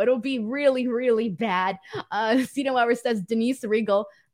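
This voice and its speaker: A woman with a Southern California accent speaks at a high pitch and a very slow pace. Her pitch variation is ordinary, and the recording is very clean with a silent background. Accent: Valley girl. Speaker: pro wrestling podcast host. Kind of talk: casual show recap with live chat. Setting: live stream. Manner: animated.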